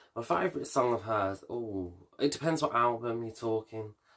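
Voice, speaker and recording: A man with a Birmingham accent talks in a fairly even intonation on a very clean recording with a silent background. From Birmingham, England. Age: 20s. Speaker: vlogger and hairdresser. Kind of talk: casual Q&A vlog. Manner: hesitant, many fillers.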